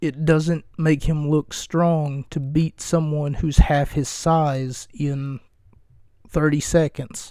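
This man talks at a very slow pace in a fairly high pitch, with a dark, mellow tone. His intonation is monotone and flat, and the recording is very clean with a silent background. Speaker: wrestling podcaster. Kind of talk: solo podcast monologue, comedic. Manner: rambling, humorous, casual.

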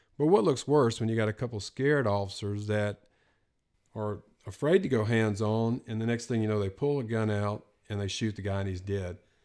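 A man talks in a normal speaking voice, fairly low in pitch with ordinary pitch variation and a fairly quick pace. The recording is very clean, with a silent background. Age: 50s. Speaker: retired police SWAT sergeant. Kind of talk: casual chat.

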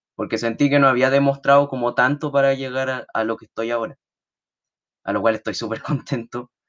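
The background stays quiet. A man talks at a medium pitch, keeping his intonation fairly even. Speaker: podcast panelist. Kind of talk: casual chat. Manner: halting.

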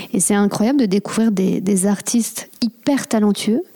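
In a plain, everyday voice, a woman talks at a medium pitch with ordinary pitch variation. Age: 30s. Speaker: podcast host and hypnotherapist. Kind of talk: casual interview chat.

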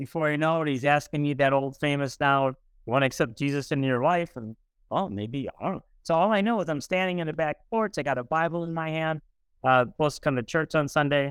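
Speaking at a fairly quick pace, a man with an American accent and a plain, everyday voice sounds fairly high in pitch, with ordinary pitch variation and big swings in loudness, in a dry, close, echo-free recording that is very clean with a silent background. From US Midwest, East St. Louis, Illinois. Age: 60s. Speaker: writer, speaker and church leader. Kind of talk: interview conversation.

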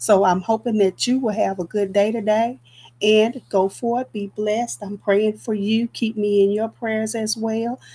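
Somewhat breathy and fairly slow, a woman speaks at a fairly high pitch with a dark, mellow tone and monotone, flat intonation. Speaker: evangelist podcast host. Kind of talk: devotional podcast sign-off. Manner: halting with fillers.

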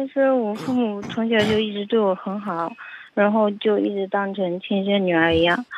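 A woman's medium-pitched voice, fairly even in intonation and moderate in pace, against noticeable background noise. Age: 20s. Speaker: caller on a relationship advice show. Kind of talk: phone-in conversation.

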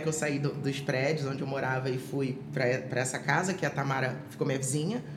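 A woman's fairly quick speech, with audible room echo and noticeable background noise. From Rio de Janeiro, Brazil. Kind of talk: testimony. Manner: halting, many fillers and repetitions.

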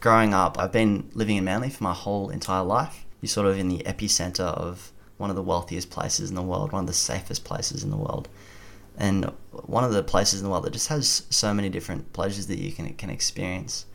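Speaking at a very fast pace with an Australian accent, a man with a fairly low pitch uses lively intonation. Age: 20s. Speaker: university student and lay preacher. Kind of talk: testimony.

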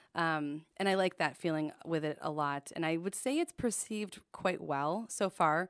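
This woman speaks at a moderate pace with hardly any pauses. Her pitch is fairly low, with ordinary variation. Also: very clean recording, silent background. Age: 30s. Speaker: chiropractor and business owner. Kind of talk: casual interview. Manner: outgoing, frequent giggling.

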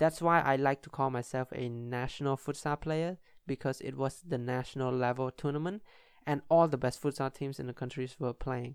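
An ordinary speaking voice from a man, moderate in pace and fairly even in intonation, in a very clean recording with a silent background. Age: 20s. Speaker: podcast host and futsal player. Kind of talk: solo podcast monologue.

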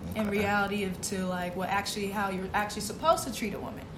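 Talking at a very fast pace, a woman with an American accent keeps a medium pitch and fairly even intonation. Noticeable background noise and audible room echo come through. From Boston, Massachusetts. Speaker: college student co-host. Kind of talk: casual chat.

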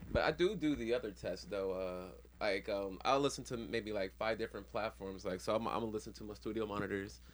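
A man talks at a very fast pace with hardly any pauses. His fairly low voice shows vocal fry and very wide pitch swings. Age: 30s. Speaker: podcast co-host. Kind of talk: casual chat.

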